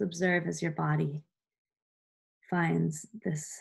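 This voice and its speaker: Over a quiet background, the words come out very slowly. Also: woman. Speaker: meditation guide. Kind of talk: guided meditation. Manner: slow, soothing, gentle pacing with calm pauses; soft-spoken, warm, instructional. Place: home room. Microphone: webcam.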